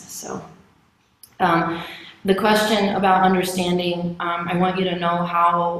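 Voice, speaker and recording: At a fairly slow pace, a woman with a fairly low pitch speaks in a monotone, flat intonation, with audible room echo. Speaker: lay service leader. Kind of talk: testimony. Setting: church service.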